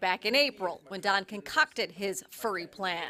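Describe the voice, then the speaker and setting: A woman's plain, everyday voice at a medium pitch. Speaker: TV news reporter. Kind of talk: TV news narration.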